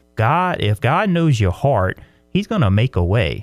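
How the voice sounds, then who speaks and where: A man with a South Louisiana accent at a moderate pace, dry and close with no echo, on a very clean recording with a silent background. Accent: South Louisiana US Southern. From South Louisiana, La Place. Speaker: pastor and author. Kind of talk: interview.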